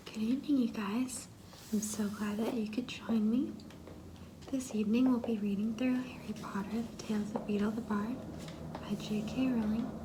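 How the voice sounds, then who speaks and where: Soft-spoken and fairly high in pitch, a woman speaks at a moderate pace in a monotone, flat intonation, with noticeable background noise. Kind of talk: ASMR story reading.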